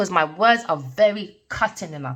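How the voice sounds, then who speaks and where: A woman talks loud at a moderate pace. Her tone is animated. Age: 40s. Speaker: tarot reader. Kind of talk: tarot reading rant.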